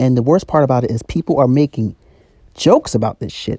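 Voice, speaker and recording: A man talks at a fairly quick pace in a dark, mellow tone. The sound is dry and close, with no echo. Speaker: YouTuber. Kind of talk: rant / vlog monologue. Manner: fast.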